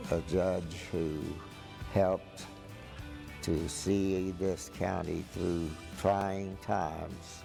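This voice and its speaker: Over music in the background, a man speaks at a very slow pace in a very deep, low pitch with long, frequent pauses. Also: fairly even intonation. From West Texas. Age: 80s+. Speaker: county judge. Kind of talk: interview answer.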